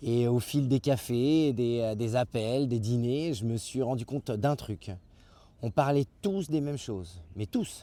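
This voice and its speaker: Very slow and dark, mellow in tone, a man speaks at a medium pitch on a very clean recording with a silent background. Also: ordinary pitch variation. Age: 50s. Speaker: YouTube channel creator. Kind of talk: channel introduction monologue. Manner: hesitant, many filler sounds.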